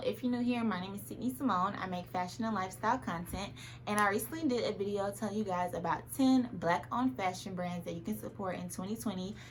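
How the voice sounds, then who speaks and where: A woman speaks very fast at medium pitch, with hardly any pauses. Her tone is animated, with lively intonation and vocal fry. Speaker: fashion and lifestyle youtuber. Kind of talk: try-on haul vlog.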